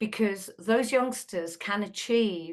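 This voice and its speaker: A woman with a British accent talks at a fairly slow pace. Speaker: school trust leader. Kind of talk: presentation. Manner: animated.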